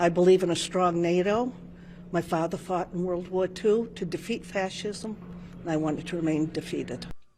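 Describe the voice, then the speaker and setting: A woman with an American accent speaks at a fairly low pitch and a moderate pace. Her tone is dark and mellow, with vocal fry. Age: 70s. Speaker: voter interviewed at polls. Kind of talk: street interview.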